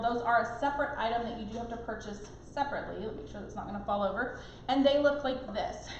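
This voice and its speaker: Lively intonation marks this woman's speech, heard with audible room echo and noticeable background noise. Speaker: cooking product consultant. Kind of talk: live product demonstration. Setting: live stream. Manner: fast.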